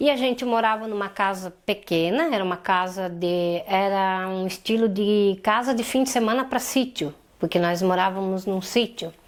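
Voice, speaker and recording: A woman with an ordinary speaking voice, medium pitch and ordinary pitch variation, at a moderate pace with hardly any pauses. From Santa Catarina, southern Brazil. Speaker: polio survivor and domestic violence survivor. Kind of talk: interview testimony.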